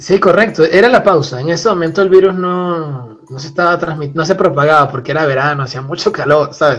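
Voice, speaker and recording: Spoken at a moderate pace with a Venezuelan accent. The pitch varies in an ordinary way. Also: man. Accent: Venezuelan, drops final s. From Venezuela, Puerto la Cruz (eastern coast). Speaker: seismology PhD student. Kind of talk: casual chat.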